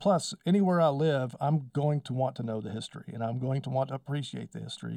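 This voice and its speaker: At a very fast pace, a man with a West Texas accent speaks at medium pitch in a dark, mellow tone, on a very clean recording with a silent background. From Texas Panhandle (Wellington, Texas). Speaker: power company spokesman and local historian. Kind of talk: casual interview.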